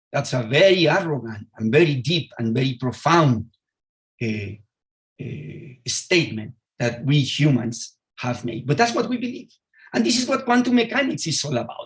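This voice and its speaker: A man with a Spanish accent speaks at a fairly quick pace in a fairly high, somewhat breathy voice, his pitch swinging very widely. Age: 60s. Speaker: physicist. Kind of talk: lecture. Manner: halting.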